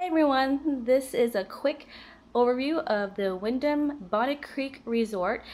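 At a fairly slow pace, a woman speaks in a high pitch. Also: ordinary pitch variation. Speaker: vlogger giving a resort room tour. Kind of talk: casual video tour. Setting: hotel room and balcony. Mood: relaxed, chatty. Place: home room. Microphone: phone near.

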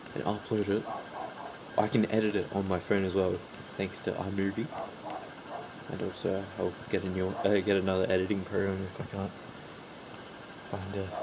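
Speech at a fairly quick pace comes through over noticeable background noise. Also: man. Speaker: mobile gaming YouTuber. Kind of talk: casual vlog talk to camera.

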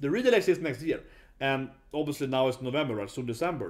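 The man's pitch varies in an ordinary way, with a quiet background behind him. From Sweden. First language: Swedish. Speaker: YouTuber, user researcher; YouTuber. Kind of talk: casual video commentary. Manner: halting, many fillers. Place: home room. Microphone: webcam.

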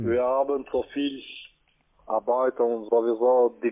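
The speech is very slow and monotone, with flat intonation. The background is quiet. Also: man. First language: not German (speaking German). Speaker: scam call center agent. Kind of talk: casual chat. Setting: phone call. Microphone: phone line.

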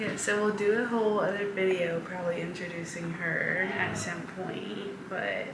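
The speaker is a woman talking at a fairly slow pace. Noticeable background noise runs behind her. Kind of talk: casual vlog chat.

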